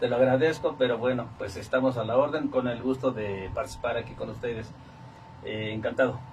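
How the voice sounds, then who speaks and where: A man talks at a medium pitch. Noticeable background noise can be heard. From central Mexico, State of Mexico (Coacalco). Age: 60s. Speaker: retired teacher. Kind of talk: radio interview.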